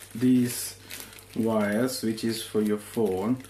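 A man uses a normal speaking voice, fairly low in pitch with fairly even intonation, over light background noise. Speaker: product reviewer. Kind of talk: unboxing tutorial. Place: home room. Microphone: phone near.

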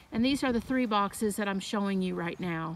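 A woman at a moderate pace with ordinary pitch variation, dry sound with no echo, and noticeable background noise. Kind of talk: casual garden tour narration. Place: garden. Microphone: phone near.

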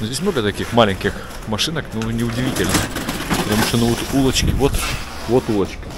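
Over clear background noise, a man speaks at a fast pace with a medium pitch and ordinary pitch variation.

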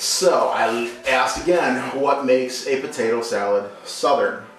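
Faint background music along with audible room echo. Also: man. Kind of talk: cooking tutorial. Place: kitchen. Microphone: camera far.

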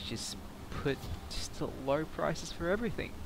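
Against loud background noise, a man's voice comes through dry with no echo. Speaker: gamer. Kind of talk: gameplay commentary.

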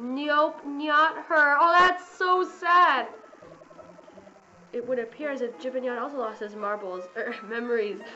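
A high-pitched woman's voice with lively intonation and a fairly slow pace, big swings in loudness, audible room echo and noticeable background noise. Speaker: gaming YouTuber. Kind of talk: gameplay commentary. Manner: animated.

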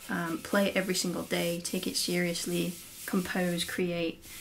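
A woman with an East Midlands accent at a moderate pace, over light background noise. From England, Lincolnshire. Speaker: handpan teacher and musician. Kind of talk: casual tutorial / Q&A vlog. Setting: home studio, solo to camera. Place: home room. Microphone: camera far.

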